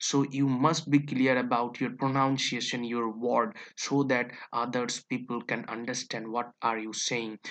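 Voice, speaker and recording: The speaker has a Bengali accent and talks at a fairly slow pace. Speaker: English teacher. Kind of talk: tutorial. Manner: halting, with frequent fillers and self-corrections.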